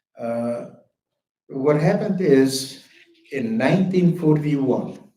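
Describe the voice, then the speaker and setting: Through audible room echo, a man with a fairly high pitch talks at a very slow pace with ordinary pitch variation. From Bukovina, Romania (Chernivtsi). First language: German. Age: 80s+. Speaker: Holocaust survivor speaker. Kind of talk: testimony.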